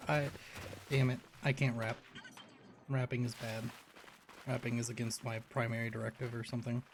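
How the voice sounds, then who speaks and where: Over noticeable background noise, a medium-pitched man talks at a fairly quick pace in a monotone, flat way, with long, frequent pauses. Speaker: streamer playing video games. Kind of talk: casual livestream chat.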